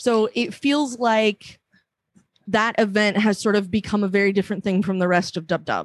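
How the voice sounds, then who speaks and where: This is an ordinary speaking voice at a moderate pace. The intonation is fairly even. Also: woman, medium pitch for a woman. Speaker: panelist. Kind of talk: casual panel discussion.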